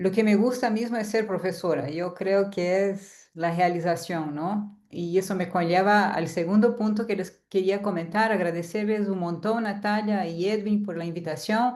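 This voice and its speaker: This woman speaks with a Portuguese accent. Her pace is fairly slow and her intonation fairly even. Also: medium pitch for a woman. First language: Portuguese (speaking Spanish). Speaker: university lecturer. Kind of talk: lecture. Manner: halting.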